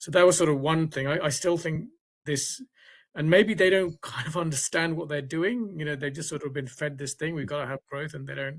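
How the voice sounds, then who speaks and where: A man speaks with a British accent at a fairly high pitch. His voice is somewhat breathy, with ordinary pitch variation. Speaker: science writer. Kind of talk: seminar Q&A comment. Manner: halting.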